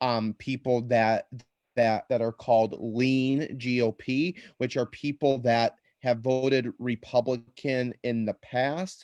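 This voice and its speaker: A man with an American accent at medium pitch, very slow and fairly even in intonation, in a dry, close sound with no echo. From US Midwest, Chicago area. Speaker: political campaign coordinator. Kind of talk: panel discussion. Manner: halting, many repeated words.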